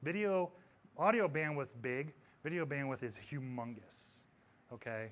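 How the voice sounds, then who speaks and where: Lively intonation and an animated tone mark this man's fairly high voice. He leaves long, frequent pauses. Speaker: audio technology presenter. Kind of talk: conference presentation. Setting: stage with audience. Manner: fast.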